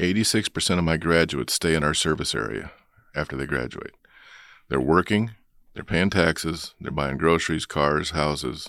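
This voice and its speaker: This voice has vocal fry and ordinary pitch variation, moving at a moderate pace on a very clean recording with a silent background. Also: man, very deep, low pitch for a man. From South Dakota. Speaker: technical college president. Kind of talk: interview.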